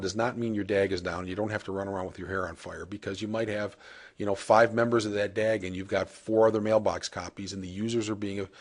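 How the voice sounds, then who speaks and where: The speech moves at a fairly quick pace. Behind it, the background is quiet. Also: man. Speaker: software product demonstrator. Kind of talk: software demo tutorial. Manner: fast; casual with frequent filler uh.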